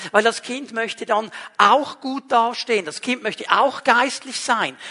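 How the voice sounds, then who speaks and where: The voice is raised and projected. It moves at a fairly slow pace with fairly even intonation. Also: man. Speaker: pastor. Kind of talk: sermon. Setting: livestreamed church service.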